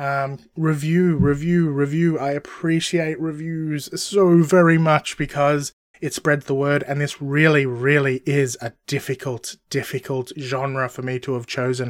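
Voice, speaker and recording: A man with an Australian accent speaks at a fairly slow pace, his pitch fairly high and his intonation fairly even. He hardly pauses, and the sound is dry and close with no echo. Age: 40s. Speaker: podcast host. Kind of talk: casual monologue.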